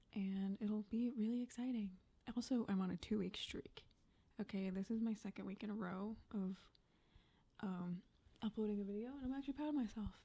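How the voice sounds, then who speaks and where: A dark, mellow, somewhat breathy voice at a fairly quick pace, with ordinary pitch variation and long, frequent pauses. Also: woman, fairly high pitch for a woman. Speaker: Sims speed build YouTuber. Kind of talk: casual voiceover commentary. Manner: quiet, soft-spoken.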